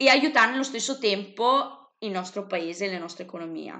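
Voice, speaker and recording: A woman speaks with lively intonation. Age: 20s. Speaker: psychology student and YouTuber. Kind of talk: interview.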